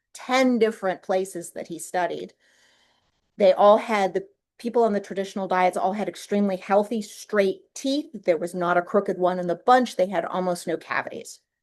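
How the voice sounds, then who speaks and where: An unremarkable speaking voice with an American accent moves at a moderate pace with ordinary pitch variation over a quiet background. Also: woman. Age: 60s. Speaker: podcast host. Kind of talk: solo podcast monologue. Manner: casual, conversational.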